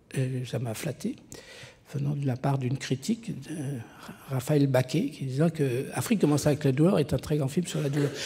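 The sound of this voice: The speaker talks at a moderate pace with a Lyonnais accent. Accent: Lyonnais regional French.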